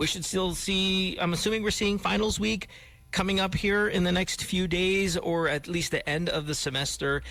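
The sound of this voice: Keeping a moderate pace, a man speaks in a high pitch with fairly even intonation. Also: fairly bright tone.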